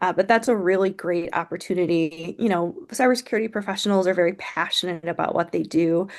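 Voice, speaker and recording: Against a quiet background, a woman with a normal speaking voice talks at a fairly quick pace with ordinary pitch variation. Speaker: nonprofit program presenter. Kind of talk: webinar presentation.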